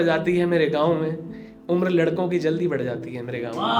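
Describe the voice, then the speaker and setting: Music in the background behind a man's high-pitched voice, ordinary pitch variation and a moderate pace. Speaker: spoken word poet. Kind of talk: live open mic poetry performance. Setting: live stage with audience.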